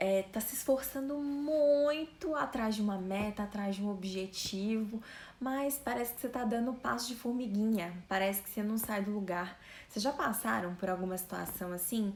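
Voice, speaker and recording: A soft-spoken woman with a fairly high pitch talks at a moderate pace, her loudness swinging widely, over noticeable background noise. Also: ordinary pitch variation. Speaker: fitness and weight-loss influencer. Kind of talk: live stream talk. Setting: live stream. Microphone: voice too quiet on stream.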